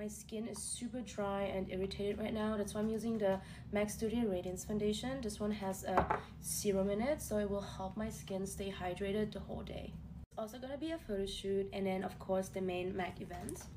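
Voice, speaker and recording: A woman at a fairly quick pace with fairly even intonation amid noticeable background noise. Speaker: beauty creator. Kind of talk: casual get-ready-with-me vlog chat. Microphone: phone near.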